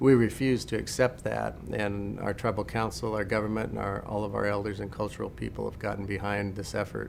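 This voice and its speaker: A man with an American accent talks at a moderate pace. His voice has vocal fry and fairly even intonation. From Western Oregon, USA. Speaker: language and traditional arts instructor. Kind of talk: interview answer.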